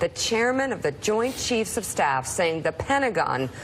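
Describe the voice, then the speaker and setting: A woman's pitch leaps and drops very widely while clear background noise goes on. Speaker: TV news co-host. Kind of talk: TV news opening monologue. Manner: smug, drawn-out.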